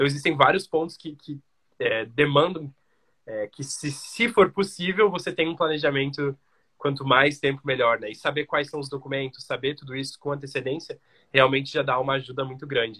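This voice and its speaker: A bright, sharp voice moves at a moderate pace with ordinary pitch variation and big swings in loudness. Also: man, fairly high pitch for a man. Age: young. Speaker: podcast host. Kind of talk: interview. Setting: live video stream.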